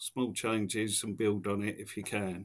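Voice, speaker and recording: With an English accent, a man speaks at a fairly low pitch and a fairly slow pace. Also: very clean recording, silent background. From Essex, England. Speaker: taxi driver. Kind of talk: podcast interview answer. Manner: casual, conversational.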